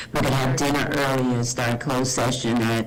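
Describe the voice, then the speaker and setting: The intonation is monotone and flat, with noticeable background noise behind the voice. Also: man. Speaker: school board member. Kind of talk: board meeting discussion. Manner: soft-spoken.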